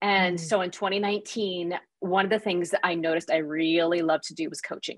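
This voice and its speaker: In an American accent, a woman with an ordinary speaking voice talks at a fairly quick pace and a medium pitch. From US Midwest, small town. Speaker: leadership coach and author. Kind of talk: interview conversation.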